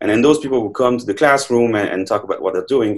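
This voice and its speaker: A man talks in a French accent. His voice sits at medium pitch with ordinary pitch variation. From France. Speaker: neuroscientist, professor. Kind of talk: interview. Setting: online remote recording. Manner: halting, many fillers.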